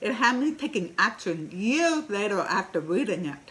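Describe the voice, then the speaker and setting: The speech has very wide pitch swings and a fairly slow pace. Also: woman. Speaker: digital marketer. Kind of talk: casual talk to camera. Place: home room. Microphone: webcam.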